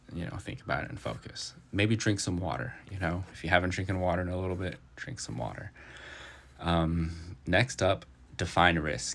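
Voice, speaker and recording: Speaking at a moderate pace, a man with a very deep, low pitch shows vocal fry and ordinary pitch variation. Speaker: finance podcaster. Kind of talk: reading notes aloud with casual commentary. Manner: halting, stuttering.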